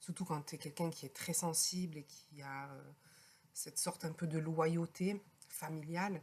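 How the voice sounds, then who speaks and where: With a very deep, low pitch, a woman talks at a fairly slow pace in a monotone, flat way, somewhat breathy and with big swings in loudness. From France. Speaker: podcaster, healer. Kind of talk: personal podcast talk. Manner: hesitant, conversational.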